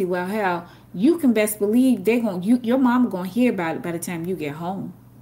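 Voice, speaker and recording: A woman speaks at a fairly quick pace with lively intonation. Her tone is dark and mellow, and somewhat breathy. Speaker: podcast co-host. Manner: fiery, blunt, exasperated.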